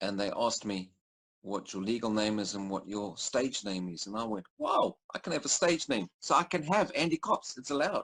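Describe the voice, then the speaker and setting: Speaking at a moderate pace with a South African accent, a man with a medium pitch makes very wide pitch swings. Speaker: storyteller and entrepreneur. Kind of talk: interview. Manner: halting.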